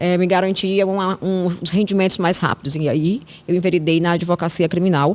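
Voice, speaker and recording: This woman has a normal speaking voice, fairly low in pitch. Her intonation is fairly even and her pace moderate. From Ceará, Vale do Jaguaribe (Russas), Brazil. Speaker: criminal lawyer. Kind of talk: interview. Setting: podcast studio.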